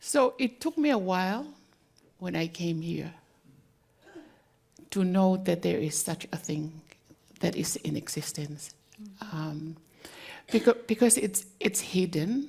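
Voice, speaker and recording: A somewhat breathy woman in a Tongan accent, medium-pitched with a dark, mellow tone, very wide pitch swings, a very slow pace, and long, frequent pauses. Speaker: community leader. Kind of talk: panel discussion.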